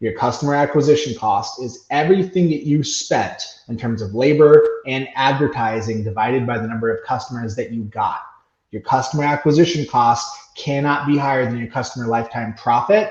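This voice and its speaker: A man talks fairly quickly in a somewhat breathy, medium-pitched voice with ordinary pitch variation. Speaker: software company CEO and business coach. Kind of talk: podcast interview. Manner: fast.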